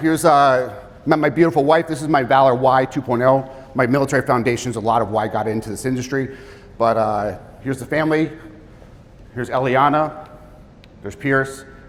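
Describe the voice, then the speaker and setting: Through noticeable background noise, a man with a medium pitch talks at a fairly quick pace broken by long, frequent pauses. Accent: American. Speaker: financial advisor and military veteran. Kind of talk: seminar presentation. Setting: live seminar with audience. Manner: fast; casual, energetic.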